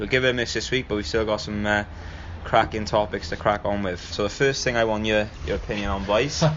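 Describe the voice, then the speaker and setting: Speaking very fast with a South Wales Valleys accent, a man keeps a fairly low pitch with ordinary pitch variation. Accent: Welsh Valleys. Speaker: podcast host. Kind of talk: casual podcast talk.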